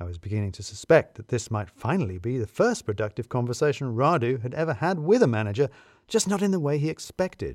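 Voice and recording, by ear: Over a silent background in a very clean recording, a man talks fast with big pitch swings and a slightly mellow tone. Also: medium pitch for a man.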